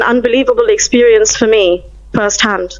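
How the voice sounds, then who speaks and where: Fairly high pitch from a woman, ordinary pitch variation, and noticeable background noise. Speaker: caller giving testimony. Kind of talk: testimony. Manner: hesitant, many fillers.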